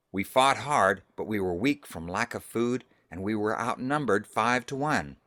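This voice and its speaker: Using a put-on character voice, a man growls at a medium pitch and a moderate pace in a very clean recording with a silent background. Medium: read story. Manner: commanding.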